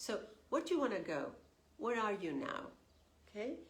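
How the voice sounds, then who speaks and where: Her voice is fairly high and somewhat breathy, with very wide pitch swings. A woman is heard in a room with audible echo. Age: 60s. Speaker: tarot reader. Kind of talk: spiritual guidance talk.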